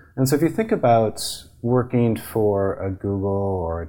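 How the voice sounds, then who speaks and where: A normal speaking voice from a man, moderate in pace and fairly low in pitch. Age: 40s. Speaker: patent attorney. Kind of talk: interview.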